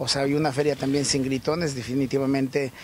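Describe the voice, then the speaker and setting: A man speaks at a fairly high pitch and a fairly quick pace, with monotone, flat intonation. The sound is dry with no echo, over light background noise. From Tlaxcala, Mexico. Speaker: fair blanket seller. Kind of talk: interview; interview answer. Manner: halting. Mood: proud, cheerful. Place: market. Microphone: handheld.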